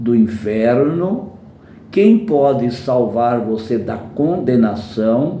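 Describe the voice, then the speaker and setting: At a very slow pace, a man speaks with a medium pitch and ordinary pitch variation, with audible room echo around him. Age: 70s. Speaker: preacher. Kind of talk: sermon.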